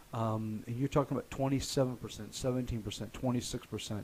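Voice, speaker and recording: Using a plain, everyday voice, a man with an American accent speaks at a medium pitch with ordinary pitch variation. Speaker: real estate agent and radio show host. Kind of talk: online radio show host talk. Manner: conversational, upbeat.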